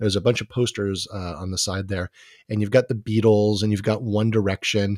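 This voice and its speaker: Fairly low in pitch, a man with a normal speaking voice talks at a fairly quick pace, dry and close with no echo on a very clean recording with a silent background. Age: 50s. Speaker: history professor. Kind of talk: interview.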